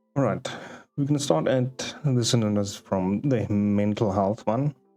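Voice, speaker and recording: Music plays in the background as a man with a non-native accent speaks at a fairly slow pace. His pitch is fairly low, with ordinary variation and very even loudness. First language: not English. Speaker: streamer reading Reddit posts. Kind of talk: live stream, reading aloud with commentary. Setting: live stream. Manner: halting, with many fillers.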